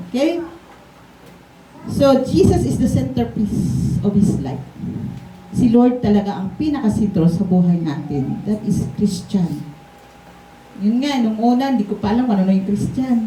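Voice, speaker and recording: A woman's medium-pitched voice with very wide pitch swings, a fairly slow pace, long, frequent pauses, noticeable background noise, and audible room echo. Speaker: pastor. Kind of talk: sermon. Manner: gentle.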